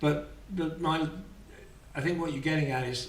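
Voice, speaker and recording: Noticeable background noise and audible room echo surround a man speaking at a moderate pace. His voice is fairly high, with ordinary pitch variation. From southern England, Kent. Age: 60s. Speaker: traveller and volunteer. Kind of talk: podcast interview. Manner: halting.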